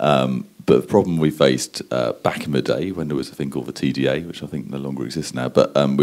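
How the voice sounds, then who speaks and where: A man with a British accent has a very deep, low pitch. He talks fairly quickly with ordinary pitch variation. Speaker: advertising strategist. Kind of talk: conference talk. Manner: hesitant, many fillers.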